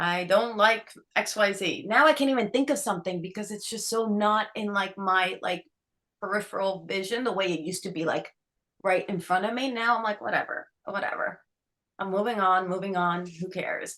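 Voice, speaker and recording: With an American accent, a woman talks at a moderate pace in a bubbly, animated tone that is also bright and sharp, her medium pitch showing ordinary variation. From New York, Dominican family. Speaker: author and actor. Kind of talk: interview chat.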